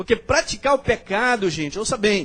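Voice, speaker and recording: Moderate pace and ordinary pitch variation in a man's high voice. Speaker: pastor. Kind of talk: sermon.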